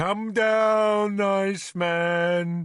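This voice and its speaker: A put-on character voice at middle pitch. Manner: wheedling, coaxing, ingratiating.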